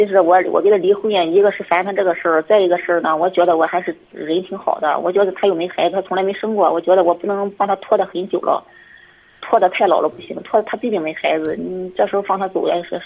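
This woman talks at a very fast pace and a medium pitch. Her intonation is monotone and flat. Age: 40s. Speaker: caller to advice show. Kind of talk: personal problem call.

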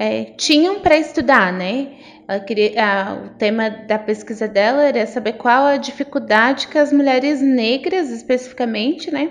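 Her pitch high and her intonation lively, a woman talks at a moderate pace with hardly any pauses. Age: 30s. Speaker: lawyer. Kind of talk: interview conversation.

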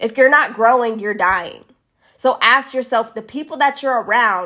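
A woman speaks at a fairly slow pace in a high pitch. Her tone is bright and sharp, animated and upbeat. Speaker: network marketing coach. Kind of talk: live social media talk. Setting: live stream from Las Vegas. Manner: animated, upbeat.

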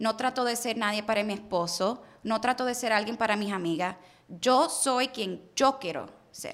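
A woman with a plain, everyday voice speaks at a moderate pace and a fairly high pitch with ordinary pitch variation. The recording is very clean, with a silent background. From Puerto Rico, raised in Miami, US. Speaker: car sales entrepreneur. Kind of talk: interview conversation. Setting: studio.

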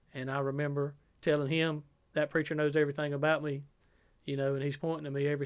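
On a very clean recording with a silent background, a man with a Southern US accent talks at a very fast pace in a fairly high pitch with monotone, flat intonation. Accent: Southern US (Georgia). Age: 40s. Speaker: preacher. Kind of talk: interview testimony.

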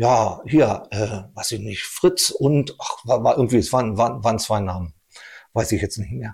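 A man at a medium pitch, somewhat breathy, with lively intonation and a moderate pace, in a very clean recording with a silent background. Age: 50s. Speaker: technical civil servant and amateur cyclist. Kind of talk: casual conversation.

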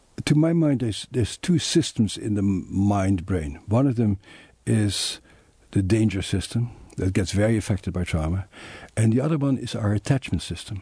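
In a Dutch accent, a man speaks at a moderate pace with a fairly low pitch. His tone is dark and mellow, somewhat breathy, against a quiet background. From Netherlands. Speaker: psychiatrist and trauma author. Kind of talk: interview.

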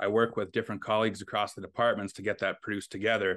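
Against a quiet background, a man with a Canadian accent speaks in a fairly low pitch with monotone, flat intonation. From northwestern Ontario, Canada (Fort Frances). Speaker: sports social media manager. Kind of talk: casual interview.

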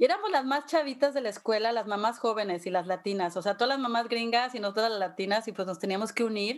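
A woman's fairly high voice at a very fast pace, ordinary pitch variation, noticeable background noise. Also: hardly any pauses. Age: 50s. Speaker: podcast host. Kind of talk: casual chat.

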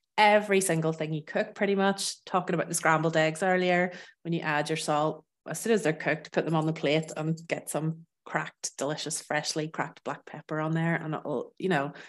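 The speaker has a Northern Irish accent and fairly even intonation at a moderate pace. The recording is very clean, with a silent background. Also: woman. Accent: Northern Irish, living in France. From Northern Ireland. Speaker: food expert guest. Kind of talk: casual interview chat.

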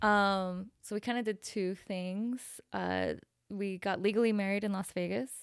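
On a very clean recording with a silent background, a woman with an American accent speaks in an unremarkable speaking voice at medium pitch, at a fairly slow pace, with fairly even intonation. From Salt Lake City, Utah. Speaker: tattoo artist. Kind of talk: casual interview chat. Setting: studio.

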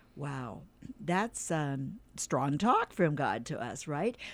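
Lively intonation and a warm tone come through at a very slow pace on a very clean recording with a silent background. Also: woman. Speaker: radio host. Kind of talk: radio show with devotional reading. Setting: studio. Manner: warm, friendly.

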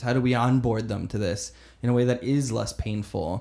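A man with an American accent speaks at a moderate pace. His pitch is medium, in a plain, everyday voice. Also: very clean recording, silent background. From US South, Florida (Fort Myers). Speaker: learning and development lead at a digital agency. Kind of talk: casual interview conversation.

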